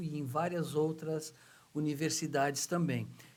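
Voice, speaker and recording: A man with a fairly high pitch and a somewhat breathy voice is heard with audible room echo. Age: 60s. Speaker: journalist and author, oratory teacher. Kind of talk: podcast interview.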